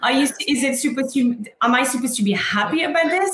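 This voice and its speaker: The woman talks at a fairly quick pace with lively intonation. Noticeable background noise and audible room echo are present. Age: 30s. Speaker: panel moderator, hospitality wellness founder. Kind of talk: panel discussion. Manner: animated.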